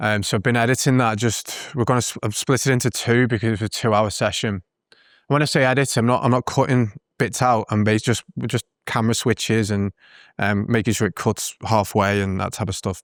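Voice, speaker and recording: Speaking at a fairly quick pace in a British accent, a man with a medium pitch keeps his intonation fairly even, and the recording is very clean with a silent background. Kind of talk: casual reflective talk to camera. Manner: hesitant, conversational.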